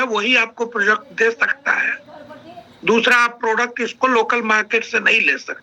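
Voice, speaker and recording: A man speaks in a raised, projected voice. There is noticeable background noise behind him. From India, Bihar (Sitamarhi district). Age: 60s. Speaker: retired army officer, network marketing speaker. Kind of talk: online training interview, personal story.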